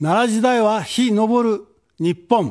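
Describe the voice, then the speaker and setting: A man's high-pitched voice at a very slow pace against a quiet background. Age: 70s. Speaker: political candidate; candidate. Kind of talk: campaign speech. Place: studio. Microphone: podium.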